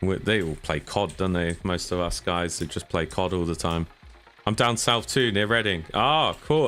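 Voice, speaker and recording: With music in the background, the speech flows at a moderate pace with ordinary pitch variation. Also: man. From southern England. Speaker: gaming streamer. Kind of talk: live-stream gameplay chat. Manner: casual, chatty.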